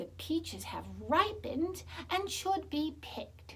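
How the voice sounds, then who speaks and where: A put-on character voice, female-sounding, at a fairly slow pace over clear background noise. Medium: read story. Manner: soft, soothing.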